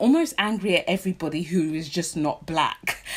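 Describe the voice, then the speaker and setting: A woman speaks with a British accent. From London, England. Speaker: vlogger. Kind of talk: casual talk to camera.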